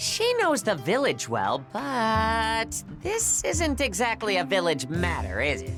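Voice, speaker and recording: A put-on character voice goes at a fairly slow pace with hardly any pauses. Music is clearly audible in the background. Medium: video game. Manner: casual, energetic.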